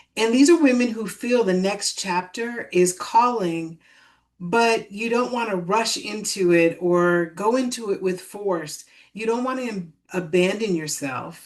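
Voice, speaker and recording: A woman with an unremarkable speaking voice talks at a fairly slow pace, her medium pitch carried by lively intonation. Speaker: spiritual coach. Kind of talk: live stream talk to audience. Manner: calm, soothing.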